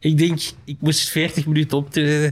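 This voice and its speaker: A man's fairly high voice with a Flemish accent, on a very clean recording with a silent background. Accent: Flemish Dutch. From Flanders, Belgium. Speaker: comedian. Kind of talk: casual chat.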